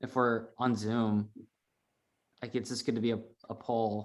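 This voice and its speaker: A man is speaking. His pace is moderate. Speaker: neighborhood meeting chair. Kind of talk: community meeting. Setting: video call. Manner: halting.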